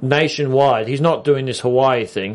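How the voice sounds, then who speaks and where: A man with an Australian accent at a moderate pace against a quiet background. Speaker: TV aftershow co-host. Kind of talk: casual chat.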